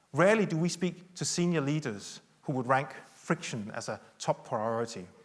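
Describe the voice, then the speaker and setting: A man with a Danish accent speaks with lively intonation. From Denmark. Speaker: tech company executive. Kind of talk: conference keynote talk. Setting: stage with audience.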